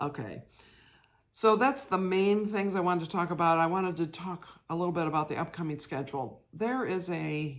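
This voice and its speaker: In a very clean recording with a silent background, a woman with an ordinary speaking voice talks at a moderate pace, fairly low in pitch, with lively intonation. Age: 60s. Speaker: cross stitch vlogger. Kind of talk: casual chat.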